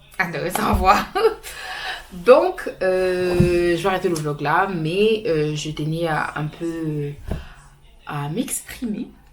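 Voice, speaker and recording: A fairly low-pitched woman at a very slow pace with ordinary pitch variation, long, frequent pauses and noticeable background noise. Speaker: vlogger. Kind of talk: casual vlog talk to camera.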